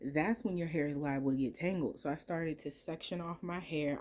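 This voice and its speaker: Her voice has a very deep, low pitch and a dark, mellow tone, and this woman speaks with ordinary pitch variation. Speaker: hair care vlogger. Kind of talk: tutorial.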